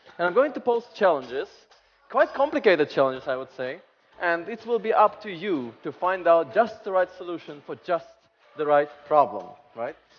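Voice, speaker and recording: With music in the background, a man speaks high, making very wide pitch swings and big swings in loudness. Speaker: conference speaker. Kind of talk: keynote talk. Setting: stage with audience. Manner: fast; animated.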